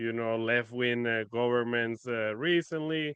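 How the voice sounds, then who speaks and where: Medium-pitched speech from a man in a Spanish accent, moderately paced, with ordinary pitch variation. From Venezuela. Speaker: finance expert. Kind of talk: podcast interview.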